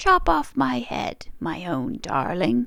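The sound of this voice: A put-on character voice with a fairly bright tone and some vocal fry. It moves at a slow pace, with very wide swings in pitch. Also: woman.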